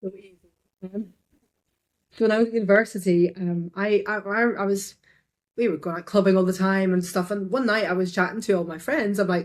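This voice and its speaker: Long, frequent pauses break up a woman's medium-pitched speech, which shows big swings in loudness. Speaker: digital artist. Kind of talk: casual interview. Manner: fast; energetic.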